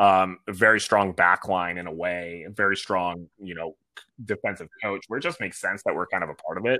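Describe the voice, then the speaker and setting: This man's voice has a bright, sharp tone and fairly low pitch. He talks at a moderate pace. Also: very clean recording, silent background. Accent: American. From Michigan, Ann Arbor. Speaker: soccer supporters group president. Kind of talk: casual interview. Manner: animated.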